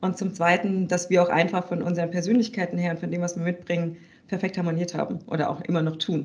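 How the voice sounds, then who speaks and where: Very fast and monotone, a woman talks with flat intonation at a fairly low pitch. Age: 30s. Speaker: business consultant and co-founder. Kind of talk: casual interview.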